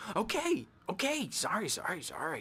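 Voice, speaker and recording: Using a put-on character voice, a man swings very widely through a high pitch. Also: moderate pace. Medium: video game. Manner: erratic, giggly, repetitive.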